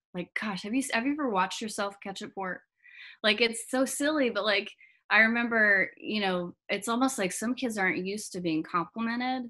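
Against a quiet background, a woman with an American accent speaks fairly quickly in a bright, sharp tone, fairly high in pitch with ordinary pitch variation. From Georgia, US South (Marietta). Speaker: color guard designer and instructor. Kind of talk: interview conversation. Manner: animated, many fillers and repetitions. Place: home room. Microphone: webcam.

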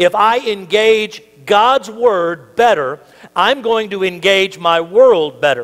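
Little noise sits behind this man. His delivery runs at a fairly slow pace. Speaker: pastor. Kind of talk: sermon. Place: church.

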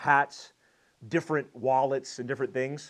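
Against a quiet background, a man talks with fairly even intonation. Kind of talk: casual vlog chat. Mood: nostalgic, warm. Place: home room. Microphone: lapel.

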